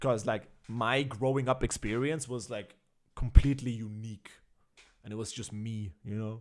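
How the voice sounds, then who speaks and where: In an Austrian accent, a man speaks at a moderate pace and medium pitch with fairly even intonation and big swings in loudness. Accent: imperfect Austrian dialect. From Austria, child of Armenian-Kurdish immigrants. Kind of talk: casual chat. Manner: hesitant, many fillers.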